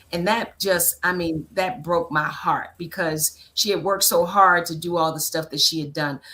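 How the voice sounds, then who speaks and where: A woman talks at a moderate pace with hardly any pauses. Her pitch is fairly low, her tone bright and sharp, and her intonation fairly even. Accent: American. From Annapolis, Maryland, US. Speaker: political strategist and consultant. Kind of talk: interview conversation. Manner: talkative.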